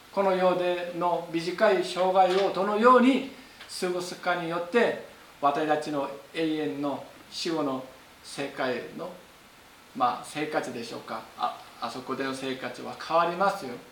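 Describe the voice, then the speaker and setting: Fairly slow delivery with big swings in loudness, lively intonation and noticeable background noise. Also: man, high pitch for a man. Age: 50s. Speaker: pastor. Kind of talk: sermon. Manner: halting.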